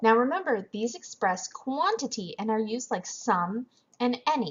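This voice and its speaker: Speaking at a fairly slow pace, a woman uses a fairly high pitch and lively intonation. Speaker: French teacher. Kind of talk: lecture. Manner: soft-spoken.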